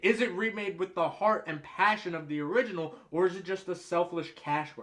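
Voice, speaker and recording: Over noticeable background noise, a man with an American accent and high pitch speaks at a fairly quick pace. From United States. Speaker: movie reviewer. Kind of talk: explainer monologue. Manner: casual.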